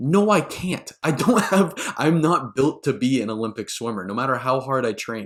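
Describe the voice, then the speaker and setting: Speaking at a moderate pace, a man of medium pitch makes very wide pitch swings. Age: young. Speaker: podcast host. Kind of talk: interview conversation.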